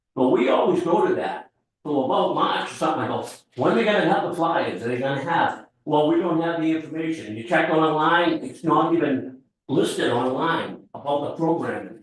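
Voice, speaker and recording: A man talks at a fairly quick pace in a fairly high pitch with ordinary pitch variation, and the room echo is audible. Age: 70s. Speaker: resident making public comment. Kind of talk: public comment at town meeting. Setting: town board meeting.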